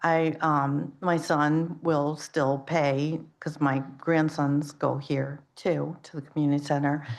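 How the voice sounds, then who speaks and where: Speaking very slowly with hardly any pauses, a woman uses a very deep, low pitch and a monotone, flat intonation amid audible room echo. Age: 60s. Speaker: public commenter at town council meeting. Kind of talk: public comment. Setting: town council meeting. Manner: halting.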